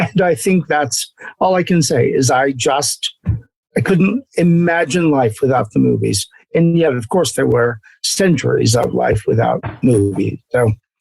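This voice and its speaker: Over music in the background, a man with a fairly high pitch speaks fairly slowly, with lively intonation and very even loudness, in a dry, close sound with no echo. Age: 70s. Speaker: actor. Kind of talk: casual chat.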